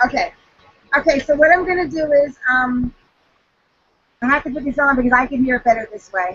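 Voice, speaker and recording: Long, frequent pauses and big swings in loudness. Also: woman, high pitch for a woman, ordinary pitch variation, fairly quick pace. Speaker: direct sales trainer. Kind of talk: training talk. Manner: fast. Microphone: choppy connection, hard to hear.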